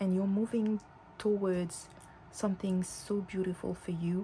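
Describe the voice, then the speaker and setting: A woman speaks at a medium pitch in a dark, mellow tone, somewhat breathy. Her delivery is fairly slow and flat, in a monotone. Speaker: tarot reader. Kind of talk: tarot reading to camera. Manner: some stuttering and mixed-up words.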